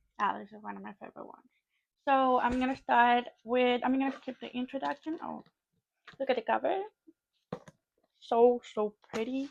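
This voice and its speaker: Speaking at a moderate pace with long, frequent pauses, a woman with a non-native accent and a high pitch shows ordinary pitch variation and big swings in loudness, in a dry, close sound with no echo. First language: not English. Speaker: English learner. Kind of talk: casual talk to camera.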